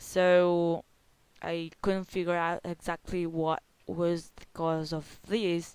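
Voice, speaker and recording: In an Italian accent, a woman with a fairly low voice talks very slowly and in a flat monotone, her loudness swinging widely. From Italy. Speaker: gaming video creator. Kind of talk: gameplay commentary. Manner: halting.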